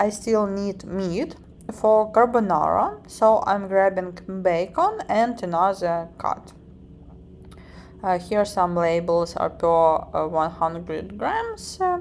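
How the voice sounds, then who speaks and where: A woman at medium pitch speaks at a very slow pace, her pitch varying in an ordinary way. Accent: Ukrainian. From Ukraine. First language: Ukrainian. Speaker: vlogger. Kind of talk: vlog narration. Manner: halting, with filler words.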